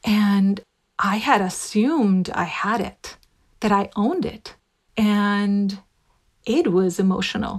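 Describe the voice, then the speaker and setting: Speaking at a very slow pace, a woman uses a medium pitch with ordinary pitch variation and a somewhat breathy quality. Her pauses are long and frequent. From Puerto Rico. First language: Spanish. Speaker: voice and dialect coach. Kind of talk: interview.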